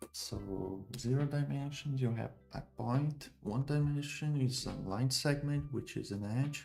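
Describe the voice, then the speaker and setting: With music in the background, a man with a Portuguese accent speaks at a fairly high pitch and a fairly slow pace, using ordinary pitch variation. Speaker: programmer streamer. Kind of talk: live coding stream. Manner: halting.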